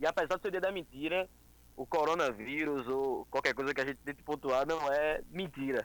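A man speaks at a moderate pace. His voice sits fairly high with ordinary pitch variation. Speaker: liberal political activist. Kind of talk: casual chat. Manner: halting.

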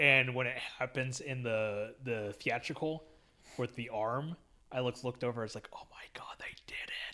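Loudness swings widely in this man's voice. His tone is bright and sharp. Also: medium pitch for a man, fairly even intonation, moderate pace. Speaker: podcast host. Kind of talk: casual chat.

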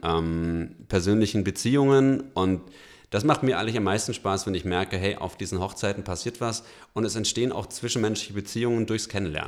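This is an ordinary speaking voice with ordinary pitch variation. The recording is very clean, with a silent background. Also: man. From Franconia, Germany. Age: 30s. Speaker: company founder. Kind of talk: interview.

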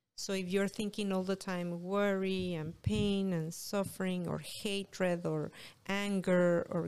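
A woman with a Spanish accent speaks at a fairly slow pace and a medium pitch. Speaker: author. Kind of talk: casual interview chat.

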